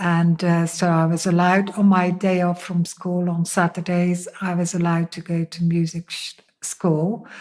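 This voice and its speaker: A woman with a Dutch accent speaks at a fairly slow pace. Her fairly low voice stays in a monotone, flat intonation. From Netherlands. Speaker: interviewee sharing faith testimony. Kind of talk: testimony. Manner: hesitant, many fillers.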